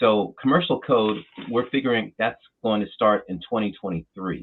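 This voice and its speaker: A man with an American accent has a plain, everyday voice. He speaks at a moderate pace with a fairly low pitch and ordinary pitch variation. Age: 60s. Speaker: trade association president. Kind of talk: interview.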